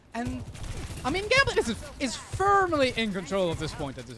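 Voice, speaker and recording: Behind the man there's noticeable background noise. His tone is animated and his pace moderate. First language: French. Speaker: esports caster. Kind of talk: live commentary. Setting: livestream. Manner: halting.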